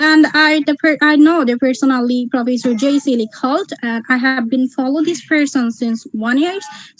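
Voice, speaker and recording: A woman with a high pitch talks with hardly any pauses over noticeable background noise. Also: ordinary pitch variation, moderate pace. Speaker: student visa applicant. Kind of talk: mock visa interview. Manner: halting, many fillers.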